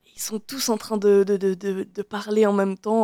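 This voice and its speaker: A woman speaks at a medium pitch with a dark, mellow tone and monotone, flat intonation. The sound is dry and close with no echo, on a very clean recording with a silent background. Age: 20s. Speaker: genealogy volunteer and YouTuber. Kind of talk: radio interview.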